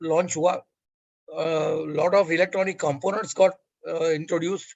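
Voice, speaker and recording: A man speaks at a moderate pace. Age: 70s. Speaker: lecturer. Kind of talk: lecture. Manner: halting.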